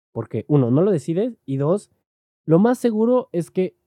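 A man with a Mexican accent and a dark, mellow tone speaks at a moderate pace with very wide pitch swings, in a dry, close sound with no echo. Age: 20s. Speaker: podcaster. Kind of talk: casual monologue. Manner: halting, many fillers. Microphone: directional mic, worse when turning away.

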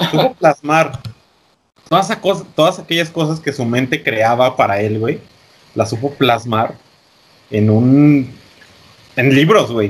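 A man speaks at a very slow pace with fairly high pitch and lively intonation, leaving long, frequent pauses. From Mexico. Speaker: podcast co-host. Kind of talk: casual chat.

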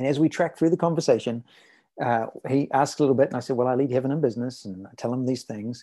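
Over a quiet background, a man with a New Zealand accent talks very fast at a medium pitch, his dark, mellow tone showing ordinary pitch variation. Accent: New Zealand accent, noticeable. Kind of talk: interview conversation.

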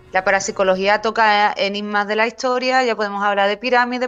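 With a normal speaking voice, a woman talks fairly quickly at a fairly high pitch and with fairly even intonation. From Cádiz, Andalusia, Spain. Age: 40s. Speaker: writer and paranormal researcher. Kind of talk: casual interview.

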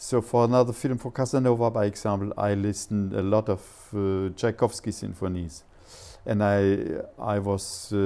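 In a German accent, a man with a dark, mellow tone and fairly low pitch talks at a moderate pace with fairly even intonation. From Germany. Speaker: composer and silent film musician. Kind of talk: interview. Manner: halting.

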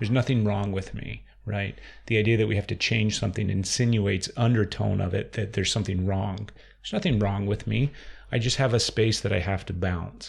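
Fairly low in pitch, a man speaks at a fairly quick pace with vocal fry. The recording is very clean and the background silent. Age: 30s. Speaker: podcast host. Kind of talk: casual interview conversation. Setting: in guest's office. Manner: animated, laughs often.

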